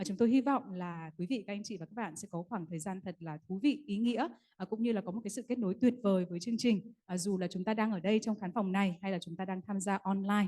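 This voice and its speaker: A woman talks very fast, with hardly any pauses and a somewhat breathy quality. Her pitch sits in the medium range with ordinary variation, and her tone is dark and mellow. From Vietnam. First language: Vietnamese. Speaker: event emcee. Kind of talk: bilingual ceremony hosting. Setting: conference hall with audience. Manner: formal.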